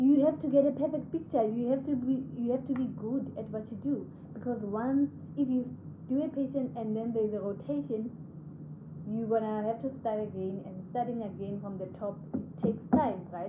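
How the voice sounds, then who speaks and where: A woman's fairly high voice with lively intonation, amid audible room echo and noticeable background noise. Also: moderate pace. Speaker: radiographer and video host. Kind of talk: casual vlog talk. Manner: conversational, hesitant with fillers.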